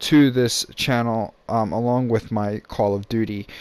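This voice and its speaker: A man's voice at medium pitch. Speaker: gaming YouTuber. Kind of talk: gameplay commentary. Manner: hesitant, many fillers.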